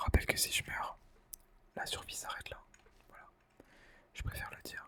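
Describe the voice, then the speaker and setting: A man is whispering, with big swings in loudness. Noticeable background noise is present. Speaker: ASMR gaming creator. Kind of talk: ASMR gaming commentary. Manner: whispered.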